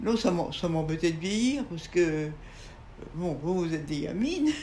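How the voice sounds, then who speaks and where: With long, frequent pauses and ordinary pitch variation, a woman talks in a space with audible room echo. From France. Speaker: writer and painter. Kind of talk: interview conversation. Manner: halting.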